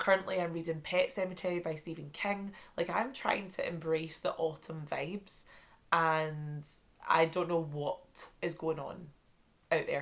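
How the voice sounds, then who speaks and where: A woman with a Scottish accent speaks in a fairly low voice. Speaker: book vlogger. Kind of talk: casual chat. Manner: animated.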